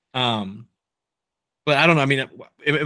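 A man with an American accent, a bright, sharp tone, ordinary pitch variation and a moderate pace, on a very clean recording with a silent background. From Nebraska. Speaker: college football podcast host. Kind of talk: casual chat.

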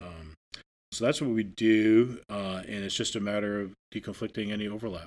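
With an American accent, a man with a fairly low pitch speaks in an unremarkable speaking voice at a moderate pace, his intonation fairly even, on a very clean recording with a silent background. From northern Maine, US. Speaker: wildlife refuge manager. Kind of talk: interview. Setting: on location at the refuge.

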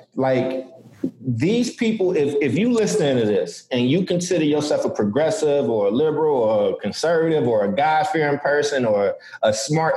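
A man speaks at a moderate pace in a fairly high pitch, swinging very widely in pitch. His loudness stays very even against noticeable background noise. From Chicago, US. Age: 30s. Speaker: podcast host. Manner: animated, conversational.

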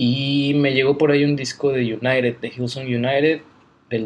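A man speaks at a moderate pace and medium pitch in a normal speaking voice. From Mexico, Guadalajara. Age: 20s. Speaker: Bible college student. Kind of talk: casual interview. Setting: Bible college campus.

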